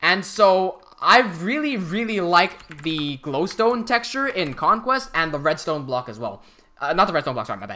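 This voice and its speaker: Noticeable background noise sits behind a speaker with an American accent talking at a moderate pace. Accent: American English, chosen over British. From Hong Kong. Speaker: live streamer and game builder. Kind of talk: casual live stream commentary. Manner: halting, many fillers and restarts.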